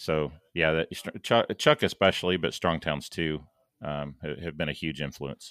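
A man with a very deep, low voice and vocal fry speaks at a fairly slow pace with fairly even intonation, in a dry, close sound with no echo. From born in St. Louis, Missouri; now in Dallas. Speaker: civil engineer and planning consultant. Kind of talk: casual interview conversation.

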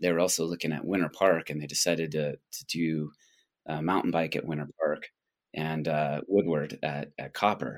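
The pace of this man's speech is moderate. He talks in an American accent. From Colorado, US. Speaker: ski resort executive. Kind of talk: interview.

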